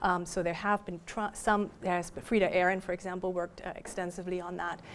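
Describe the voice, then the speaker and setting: Speaking at a very fast pace with a German accent, a woman holds a medium pitch in a monotone, flat intonation. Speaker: professor. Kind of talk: lecture Q&A. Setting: library talk with audience.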